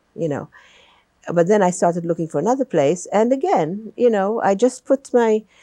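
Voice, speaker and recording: A woman's medium-pitched, dark, mellow voice with a non-native accent, lively intonation and a moderate pace, in a dry, close sound with no echo. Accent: noticeable foreign. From Malta. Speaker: retired teacher. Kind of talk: oral history interview.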